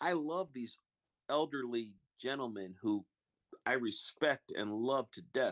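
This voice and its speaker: In a dry, close sound with no echo and a quiet background, a man speaks at a fairly slow pace with lively intonation. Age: 60s. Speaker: freemason panel member. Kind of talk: casual chat.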